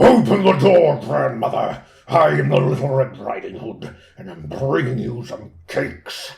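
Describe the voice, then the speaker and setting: A man puts on a character voice. He speaks at a moderate pace in a medium pitch. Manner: evil, deceptive.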